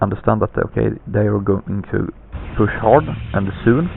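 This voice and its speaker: With a non-native accent, a man talks at a moderate pace. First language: not English. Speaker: gaming commentator. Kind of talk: game commentary. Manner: halting, many fillers. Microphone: poor lousy microphone.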